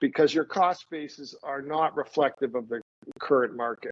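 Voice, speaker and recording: This man has a normal speaking voice, fairly high for a man. He keeps a moderate pace and ordinary pitch variation. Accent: Canadian. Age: 60s. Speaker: estate and trust lawyer. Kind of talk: webinar presentation.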